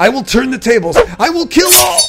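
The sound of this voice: A bellowing put-on character voice from a man, extremely high in pitch and fairly bright in tone, with big pitch swings at a moderate pace over faint music in the background.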